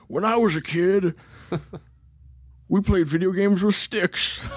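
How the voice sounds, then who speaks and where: Using a put-on character voice, a man talks at a moderate pace in a high pitch. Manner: reminiscing, gruff.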